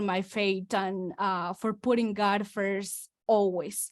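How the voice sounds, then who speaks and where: A woman with a Spanish accent, on a very clean recording with a silent background. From Mexico. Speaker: real estate investor. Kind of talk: testimony.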